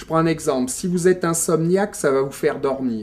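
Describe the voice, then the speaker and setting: This man talks in a dark, mellow tone at a fairly high pitch. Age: 60s. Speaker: former doctor. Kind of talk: interview. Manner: halting.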